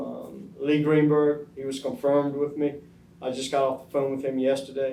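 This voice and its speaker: A man speaking at a fairly quick pace, with audible room echo. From US South. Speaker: oral history interviewee. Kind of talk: oral history interview. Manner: hesitant, many fillers.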